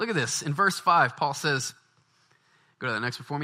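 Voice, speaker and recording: With an American accent, a man uses a fairly high pitch, a bright, sharp tone and very wide pitch swings. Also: very clean recording, silent background. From US South, Baton Rouge, Louisiana. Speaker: pastor. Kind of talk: sermon.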